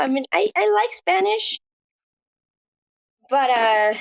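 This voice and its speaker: A squeaky woman's voice at a fairly slow pace, with very even loudness and a dry, close sound free of echo. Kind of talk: casual chat.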